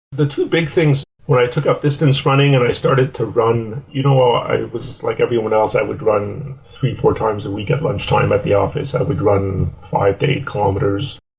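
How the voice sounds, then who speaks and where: A man speaks with an ordinary speaking voice at a medium pitch. He keeps a moderate pace with ordinary pitch variation. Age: 60s. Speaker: endurance athlete. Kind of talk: interview.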